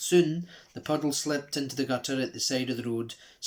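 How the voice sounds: The speaker reads in a natural reading voice, and the pitch shifts by ordinary amounts.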